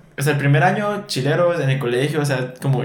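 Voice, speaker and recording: A man speaks at a fairly high pitch. Background noise is noticeable. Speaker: podcast co-host. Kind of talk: casual chat.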